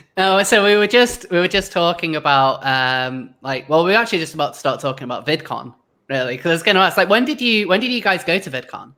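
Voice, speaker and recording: In a British accent, the speaker races along at a very fast pace on a very clean recording with a silent background. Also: hardly any pauses. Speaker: YouTuber podcast host. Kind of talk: casual chat. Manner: sarcastic.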